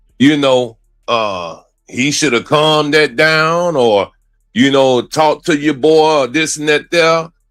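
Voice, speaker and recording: Over music in the background, a man speaks fairly slowly at a fairly high pitch with ordinary pitch variation. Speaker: trial commentary co-host. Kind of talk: casual chat. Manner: loud; animated.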